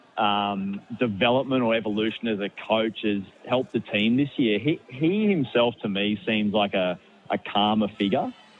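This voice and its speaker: This man speaks with an Australian accent. His pitch sits fairly low. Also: ordinary pitch variation, moderate pace. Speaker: sports journalist. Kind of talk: sports radio interview. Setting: phone line.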